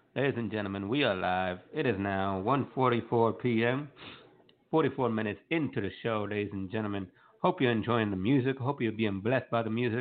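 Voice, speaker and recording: A man with an American accent and an ordinary speaking voice, medium in pitch, at a moderate pace with ordinary pitch variation. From North Carolina, US. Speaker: radio show host. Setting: live online radio broadcast.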